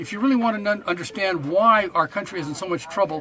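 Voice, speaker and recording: Over noticeable background noise, a raised, projected voice moves at a very fast pace with ordinary pitch variation. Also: man. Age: 70s. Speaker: protester. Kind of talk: casual chat.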